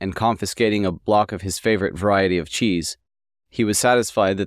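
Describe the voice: Plain reading aloud with fairly even intonation comes over a quiet background.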